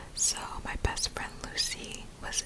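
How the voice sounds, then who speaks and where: A whispering voice with a gentle tone moves at a very slow pace. Noticeable background noise sits behind it. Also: woman. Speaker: ASMR creator. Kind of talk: whispered bedtime story for sleep. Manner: whispering, soft, gentle.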